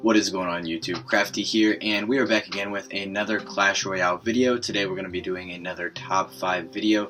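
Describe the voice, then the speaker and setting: Over noticeable background noise, a man speaks at a fairly quick pace with hardly any pauses. His pitch sits fairly low and varies in an ordinary way. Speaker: gaming YouTuber. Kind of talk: casual video commentary. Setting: home recording at night. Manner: speaking quietly.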